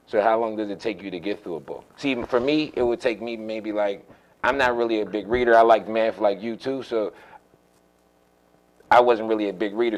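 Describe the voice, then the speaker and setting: Words come out at a fairly quick pace. It is a normal speaking voice, and its pitch varies in an ordinary way. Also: man. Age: 30s. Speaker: youth sports show host. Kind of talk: casual interview.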